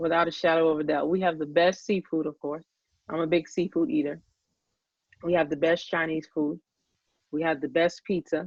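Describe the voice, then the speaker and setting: A woman with an American accent speaks at a moderate pace in a fairly low voice, with fairly even intonation and long, frequent pauses. The sound is dry and close, with no echo. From Boston, Massachusetts. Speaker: real estate agent. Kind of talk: interview.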